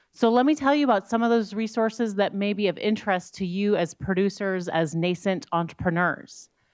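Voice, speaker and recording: A plain, everyday voice at a fairly quick pace, with hardly any pauses, ordinary pitch variation and a quiet background. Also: woman, medium pitch for a woman. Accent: American. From rural Iowa and rural Scotland. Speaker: economics professor. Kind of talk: panel talk.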